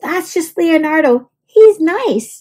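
In a put-on character voice, a woman talks slowly at an extremely high pitch, her intonation lively and her tone slightly mellow.

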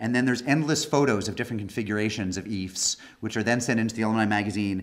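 A man is speaking. His pitch varies in an ordinary way. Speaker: guest lecturer. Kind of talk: lecture. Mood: warm, joking opening remarks. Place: hall. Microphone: podium.

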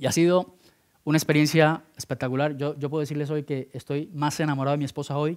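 A man with a plain, everyday voice talks at a fairly quick pace and a fairly high pitch. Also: quiet background. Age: 30s. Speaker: speaker at entrepreneurship program; conference speaker. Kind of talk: conference talk. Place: hall. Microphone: headset.

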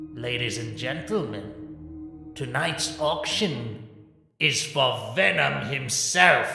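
A man puts on a raspy character voice at a medium pitch, speaking at a very slow pace with a clear echo around him. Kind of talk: salesman's pitch. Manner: smooth, theatrical, persuasive.

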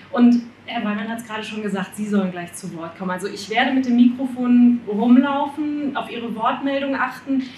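Speaking at a fairly quick pace with hardly any pauses, the voice shows big swings in loudness and ordinary pitch variation, with audible room echo and light background noise. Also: woman, high pitch for a woman. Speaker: radio presenter. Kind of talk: event moderation. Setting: event hall with audience. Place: hall.

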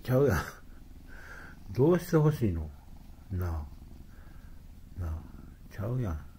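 This man's voice is fairly low in pitch, with a dark, mellow tone, a somewhat breathy quality, very wide pitch swings and a moderate pace. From Kansai, Japan. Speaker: cat owner. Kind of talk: casual talk to a pet cat. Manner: exasperated, amused. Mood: playful, affectionate. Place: home room. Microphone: phone near.

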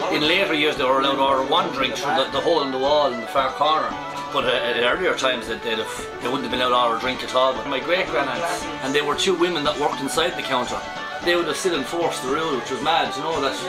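A man talking at a very fast pace with ordinary pitch variation, loud music playing in the background. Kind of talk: casual tour guide storytelling. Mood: jovial, humorous. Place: bar. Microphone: camera far.

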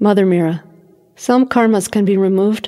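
A woman with an American accent speaks at a moderate pace and medium pitch, her dark, mellow tone carrying fairly even intonation. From United States. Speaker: audiobook narrator. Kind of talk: reading aloud.

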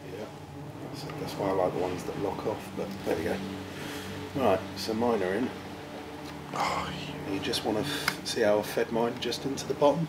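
Through loud background noise, a man talks at a moderate pace, pausing long and often. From Essex, England. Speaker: mechanic helper. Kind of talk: casual chat. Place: workshop. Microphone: camera far.

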